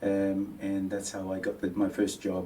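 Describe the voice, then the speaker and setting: A man with a fairly low pitch talks at a fairly slow pace, with audible room echo around him. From Papua New Guinea. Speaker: mortgage adviser. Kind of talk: interview. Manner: halting, many fillers.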